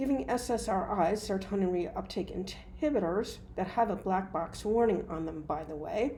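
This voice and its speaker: With an American accent, a woman speaks at a medium pitch and a moderate pace in a dark, mellow, somewhat breathy tone. Her intonation is lively, and audible room echo is present. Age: 60s. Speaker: hypnotist and mental health provider. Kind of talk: opinion monologue.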